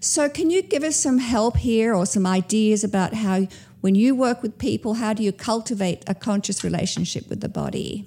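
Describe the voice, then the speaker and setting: A somewhat breathy, dark, mellow tone at a moderate pace, with ordinary pitch variation, hardly any pauses and a very clean recording with a silent background. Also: woman, fairly high pitch for a woman. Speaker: podcast host. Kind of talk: interview conversation.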